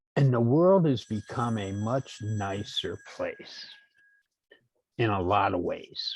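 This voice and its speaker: In an American accent, a man talks at a very slow pace, somewhat breathy, with long, frequent pauses. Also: medium pitch for a man. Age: 60s. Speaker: workshop participant. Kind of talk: online workshop discussion. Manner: halting, repeats words.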